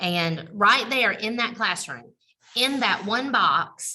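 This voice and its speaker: This woman's tone is bright and sharp, with vocal fry. Her pitch varies in an ordinary way. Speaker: special education administrator. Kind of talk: webinar presentation. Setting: video call from computer.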